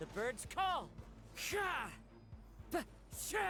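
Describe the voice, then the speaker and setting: Put-on character voice, clear background noise behind it. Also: man, extremely high pitch for a man. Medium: video game.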